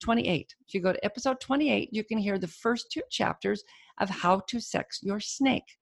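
A woman speaks in a fairly high voice with vocal fry and lively intonation. The sound is dry and close with no echo, over a quiet background. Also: moderate pace. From Alabama. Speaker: podcast host and indie author. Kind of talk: podcast host chat and intro. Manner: casual, chatty.

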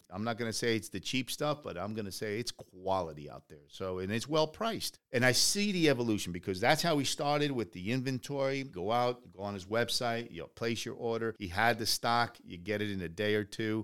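Talking at a fairly quick clip with hardly any pauses, a man with a medium-pitched voice and lively intonation comes through on a very clean recording with a silent background. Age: 50s. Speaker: podcast host, entrepreneur. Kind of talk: casual interview. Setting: studio. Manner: animated.

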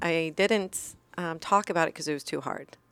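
A woman speaks in an unremarkable speaking voice, fairly low in pitch. The recording is very clean, with a silent background. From moved around as military child; California, Iceland, then Virginia. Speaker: former police officer, crash survivor. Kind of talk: interview, personal story.

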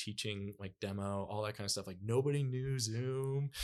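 With an American accent, a man speaks at medium pitch and a moderate pace. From US, military rural area. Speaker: author. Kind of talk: casual chat. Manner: halting.

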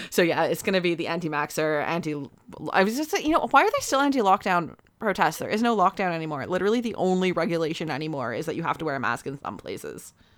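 Someone with a Canadian accent speaks at a very fast pace with very wide pitch swings over noticeable background noise. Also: woman, fairly low pitch for a woman. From Canada. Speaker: podcast co-host. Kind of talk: casual chat.

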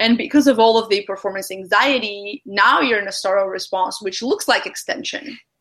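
A woman with a fairly high pitch speaks at a moderate pace. Her tone is bright and sharp, with ordinary pitch variation. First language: not English. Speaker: podcast host. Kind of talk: casual interview.

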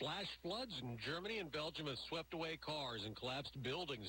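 A man's bright, sharp voice, full of vocal fry, moves at a fairly quick pace with very wide pitch swings. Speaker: news anchor. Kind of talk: news reading.

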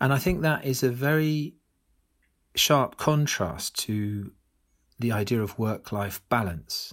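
A man with a British accent at a medium pitch, speaking at a very slow pace with lively intonation and long, frequent pauses. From UK. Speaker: author and business school academic. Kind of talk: podcast interview.

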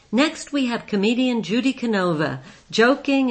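A woman is talking. Her pace is fairly slow. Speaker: podcast host. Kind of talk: podcast intro and outro narration.

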